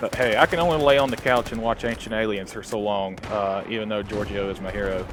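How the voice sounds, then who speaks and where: Over noticeable background noise, a man talks at a fairly quick pace. His pitch varies in an ordinary way. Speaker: gaming commentator. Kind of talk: gameplay commentary. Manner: hesitant, many filler uhs.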